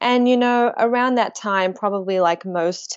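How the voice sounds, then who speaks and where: With fairly even intonation, a woman speaks in an Australian accent. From Australia, Melbourne. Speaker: spiritual author and blogger. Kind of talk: interview conversation.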